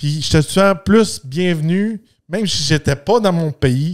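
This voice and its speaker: A man speaks with a Quebec accent. His pitch is fairly high. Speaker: podcast host. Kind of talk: casual podcast monologue. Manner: halting, many fillers and repetitions.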